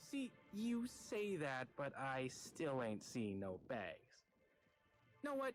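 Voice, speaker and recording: Over music in the background, a man drawls in a put-on character voice. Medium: video game. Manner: folksy drawl, chatty.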